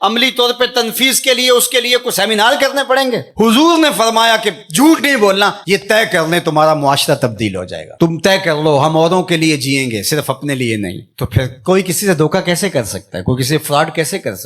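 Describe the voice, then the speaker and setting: A man's high-pitched voice swings very widely up and down. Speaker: Islamic scholar and preacher. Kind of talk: sermon / religious speech to an audience. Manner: emphatic, emotional, persuasive.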